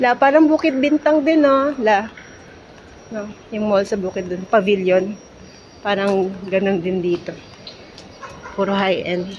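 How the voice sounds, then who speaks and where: A soft-spoken woman at a medium pitch, with lively intonation, a fairly slow pace and long, frequent pauses, over noticeable background noise. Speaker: travel vlogger. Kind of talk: casual travel vlog. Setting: indoors in a busy mall. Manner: soft-spoken, holding voice down.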